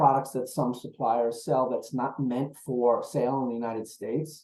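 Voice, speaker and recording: A man with a New York accent speaks at a moderate pace. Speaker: procurement executive. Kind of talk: webinar presentation.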